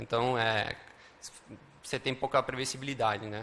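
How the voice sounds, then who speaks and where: A man's voice of medium pitch comes through with noticeable background noise. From Uruguay, Montevideo. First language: Spanish (speaking Portuguese). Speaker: software developer and conference speaker. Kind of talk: conference talk. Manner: many filler words and hesitations.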